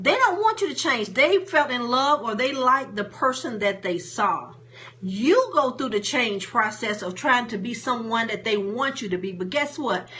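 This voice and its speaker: A woman's high voice with lively intonation at a moderate pace, against noticeable background noise. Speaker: motivational speaker and coach. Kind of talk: live stream talk. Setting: live stream on Facebook and Periscope. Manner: casual, plain-spoken.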